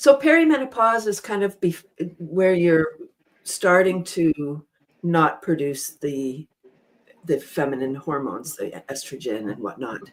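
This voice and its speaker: A woman speaks at a fairly low pitch. Her pitch swings very widely. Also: fairly slow pace. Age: 60s. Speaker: panel guest on women's health talk show. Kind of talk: panel discussion. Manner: halting, many fillers and repeats.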